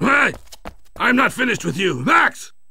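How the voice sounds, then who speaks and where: Over light background noise, a man performs a put-on character voice at an extremely high pitch and a moderate pace. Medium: video game. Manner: stern, lecturing.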